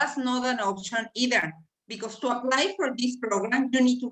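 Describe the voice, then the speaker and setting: A woman with a Mexican accent speaks at a moderate pace in a high voice, her intonation lively. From Mexico. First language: Spanish. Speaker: immigration specialist. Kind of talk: presentation on a video call.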